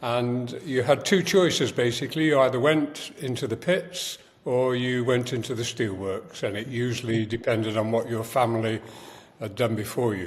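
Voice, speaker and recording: A man talks with a Yorkshire accent. His pace is moderate and his pitch variation ordinary. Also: medium pitch for a man. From northern England, Sheffield. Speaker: writer and producer. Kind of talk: podcast interview. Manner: halting, many fillers.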